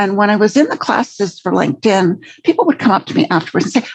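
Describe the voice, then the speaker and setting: At a very fast pace, a woman with an American accent sounds somewhat breathy, her fairly high voice swinging very widely in pitch. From Canada, English family. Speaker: LinkedIn trainer and career coach. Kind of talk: podcast interview.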